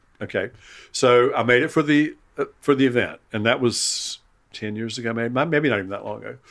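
This man's loudness rises and falls sharply. He speaks fairly quickly. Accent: Southern US. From Eastern North Carolina, US South. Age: 70s. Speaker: retired chef and writer. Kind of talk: casual chat. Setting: at home in his kitchen. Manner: halting, repeats words.

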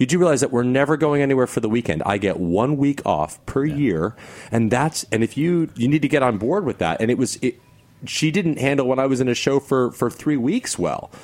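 Medium pitch and lively intonation from a man with an unremarkable speaking voice at a fairly quick pace. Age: 30s. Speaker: stage actor. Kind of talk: casual chat.

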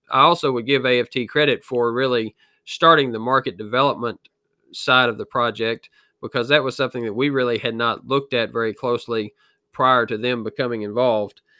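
A fairly quick, fairly even delivery with an American accent. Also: man, medium pitch for a man. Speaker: farmer. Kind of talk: interview.

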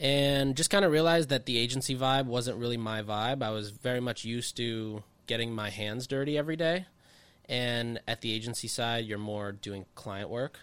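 A man speaks in a normal speaking voice. His pitch is medium. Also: ordinary pitch variation, moderate pace. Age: 20s. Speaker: marketing consultant. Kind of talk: casual chat. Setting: studio.

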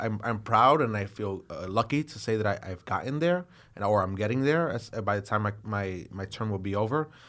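In a New York accent, a man with a fairly low voice talks at a fairly quick pace with hardly any pauses, in a very clean recording with a silent background. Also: ordinary pitch variation. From Brooklyn, New York City. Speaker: politician. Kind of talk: interview. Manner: halting, many fillers and repeated words.

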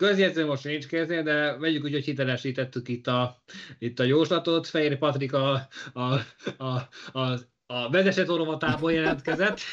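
A man speaks at a moderate pace in a normal speaking voice, his pitch fairly high. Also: ordinary pitch variation. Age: young. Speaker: motorsport podcast co-host. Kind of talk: casual chat.

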